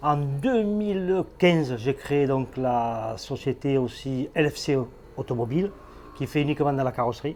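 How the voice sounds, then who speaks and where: This man has a fairly high pitch with ordinary variation and speaks at a fairly slow pace. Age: 60s. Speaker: garage owner and business founder. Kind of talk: interview. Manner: hesitant, many fillers.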